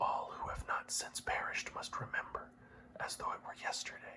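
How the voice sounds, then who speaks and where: Noticeable background noise sits behind this clip. The whispered words come at a moderate speed. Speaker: ASMR reader. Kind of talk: classic epic poetry reading for sleep.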